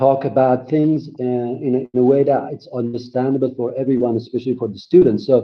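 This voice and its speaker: A man's fairly high voice in a Persian accent, at a moderate pace. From Iran. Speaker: graphic designer and educator. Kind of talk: online conference presentation. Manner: halting, many fillers.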